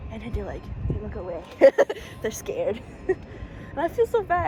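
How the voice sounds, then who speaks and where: A woman with an American accent and very wide pitch swings, over noticeable background noise. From USA. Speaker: American-born Chinese student. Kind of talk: casual chat. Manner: expressive, animated; loud.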